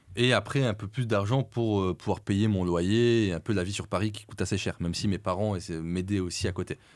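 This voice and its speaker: Delivered at a fairly quick pace with hardly any pauses and fairly even intonation, the speech sits in a very clean recording with a silent background. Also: man, fairly low pitch for a man. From France. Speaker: entrepreneur. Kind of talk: podcast interview. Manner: hesitant, filler-heavy.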